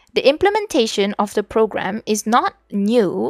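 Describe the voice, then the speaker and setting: At a moderate pace, a woman speaks in a Malaysian accent. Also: very clean recording, silent background. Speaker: vtuber streamer. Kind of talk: reading aloud study notes on stream.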